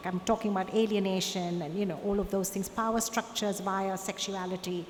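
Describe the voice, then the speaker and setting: A woman speaks at a moderate pace, her pitch in the medium range. Audible room echo surrounds her voice. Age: 60s. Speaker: artist. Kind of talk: Q&A at a conference talk.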